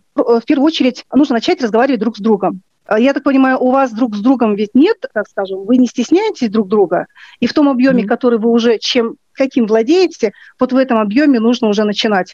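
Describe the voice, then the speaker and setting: Her voice is high-pitched with a dark, mellow tone, and the woman moves at a fairly quick pace with ordinary pitch variation. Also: very even loudness, dry, close sound with no echo. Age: 40s. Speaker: philologist and language teacher. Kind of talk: interview advice. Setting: remote call.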